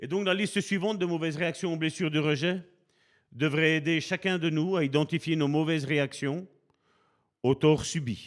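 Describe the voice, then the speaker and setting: Against a silent background in a very clean recording, a man with a fairly high pitch and fairly even intonation speaks with long, frequent pauses. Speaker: preacher. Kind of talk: sermon. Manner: slow, deliberate pace.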